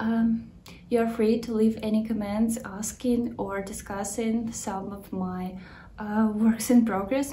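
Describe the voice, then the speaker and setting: With audible room echo, a woman in a Ukrainian accent speaks at a fairly slow pace in a fairly high pitch and a monotone, flat intonation. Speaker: knitting podcaster. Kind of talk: casual video podcast talk. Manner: halting, with many fillers.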